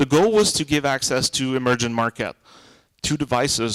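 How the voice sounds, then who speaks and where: Recorded with a dry, close sound and no echo, a man in a Quebec accent speaks at a fairly quick pace with a fairly high pitch. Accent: Québécois French accent in English. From Quebec, Montreal. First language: French. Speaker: tech conference speaker. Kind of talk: tech talk Q&A. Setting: small room with audience and mic. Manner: loud.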